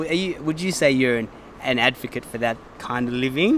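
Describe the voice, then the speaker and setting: A man talks at a fairly quick pace with a strong Sydney accent and a fairly high pitch. His intonation is lively, and there is noticeable background noise. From Sydney, Australia. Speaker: music show presenter. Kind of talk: casual interview. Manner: animated.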